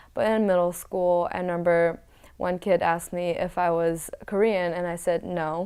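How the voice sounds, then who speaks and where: A woman with a New England accent has a dark, mellow tone and fairly low pitch, with fairly even intonation. The recording is very clean, with a silent background. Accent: American (New England). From Connecticut, moved from China in second grade. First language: Mandarin Chinese. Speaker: college swimmer. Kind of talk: interview. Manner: casual, many fillers.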